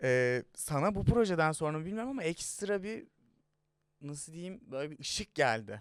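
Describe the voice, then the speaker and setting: A man talks at a fairly slow pace with a fairly high pitch. His voice makes very wide pitch swings and big swings in loudness. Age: 20s. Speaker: youtube interview host. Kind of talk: casual interview chat. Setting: studio.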